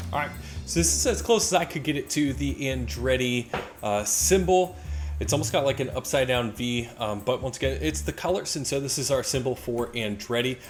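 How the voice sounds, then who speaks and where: With music playing in the background, a man speaks with an American accent. His pitch swings very widely. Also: medium pitch for a man, fairly quick pace. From United States. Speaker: gaming YouTuber. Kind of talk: gameplay commentary. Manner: casual, halting with fillers.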